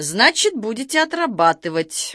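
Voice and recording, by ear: A woman's put-on character voice, fairly high and bright, sharp in tone, with big pitch swings at a fairly slow pace, on a very clean recording with a silent background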